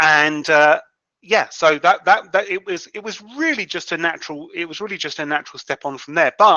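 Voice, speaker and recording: With ordinary pitch variation, a man talks fairly quickly at a fairly high pitch. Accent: British. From UK. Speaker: freelance content writer. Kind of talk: interview. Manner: halting, many repetitions.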